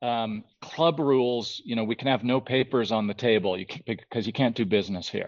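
Over a quiet background, a man with a normal speaking voice talks at a fairly quick pace in a medium pitch. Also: ordinary pitch variation. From Ontario, Canada (outside Toronto). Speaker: conceptual artist and photographer. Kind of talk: casual interview chat.

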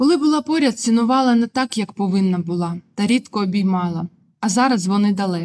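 Somewhat breathy and lively in intonation, a woman speaks at a medium pitch and a moderate pace. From southern Ukraine, Melitopol. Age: 20s. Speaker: journalism student and former TV channel worker. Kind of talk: personal testimony narration.

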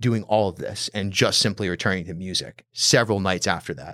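Here is a man with an American accent and a plain, everyday voice, speaking at a moderate pace with fairly even intonation. The recording is very clean, with a silent background and a dry, close sound with no echo. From Rhode Island, US. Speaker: podcast host. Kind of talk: casual chat.

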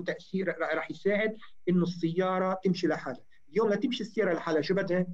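The man's voice sits high in pitch and varies in an ordinary way. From Lebanon, Chouf (Chhim, Sidon). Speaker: telecom engineer. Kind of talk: interview.

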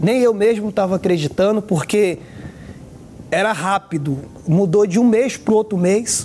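The voice moves at a moderate pace with ordinary pitch variation over music in the background. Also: man. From Brazil, Recife, Pernambuco. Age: 20s. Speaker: former drug trafficker. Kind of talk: testimony.

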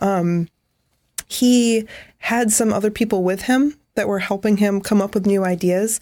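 In a dark, mellow tone, a woman speaks at medium pitch and a fairly slow pace. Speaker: photography podcast co-host. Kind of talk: casual conversational podcast.

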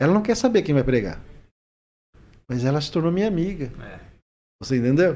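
Fairly quick yet marked by long, frequent pauses, a man's fairly high voice carries a dark, mellow tone, very wide pitch swings and big swings in loudness. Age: 40s. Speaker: social worker and regional sports official. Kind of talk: podcast interview.

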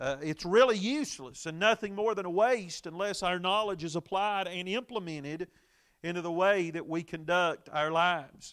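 A man with a Southern US accent talks at a moderate pace in a high voice with ordinary pitch variation. The recording is very clean, with a silent background. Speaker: Baptist preacher and radio Bible teacher. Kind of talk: Bible study sermon broadcast. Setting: church auditorium live broadcast. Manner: frequent filler words, preacherly.

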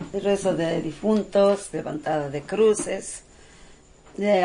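A woman at medium pitch and a fairly slow pace, with noticeable background noise. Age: 70s. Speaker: prayer leader for the dead. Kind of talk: casual explanation.

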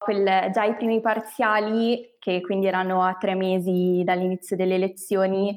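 In a very clean recording with a silent background, a woman speaks at a fairly slow pace with a medium pitch and a monotone, flat intonation. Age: 20s. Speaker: management engineer. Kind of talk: interview.

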